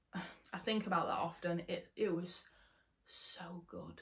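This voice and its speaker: The voice belongs to a woman and is somewhat breathy. Intonation remains fairly even. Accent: English. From England. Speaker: travel vlogger; conservation vlogger. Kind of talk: vlog narration. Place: home room.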